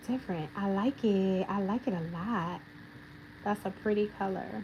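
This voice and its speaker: A woman speaks in an animated tone with ordinary pitch variation. Noticeable background noise sits behind her. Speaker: nail technician and educator. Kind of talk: livestream tutorial. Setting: livestream.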